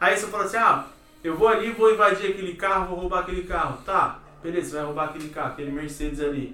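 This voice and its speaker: A man talks at a very fast pace in a high pitch for a man. Noticeable background noise and audible room echo are present. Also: ordinary pitch variation. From Brazil, Campinas (São Paulo state). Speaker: podcast co-host. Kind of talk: casual chat.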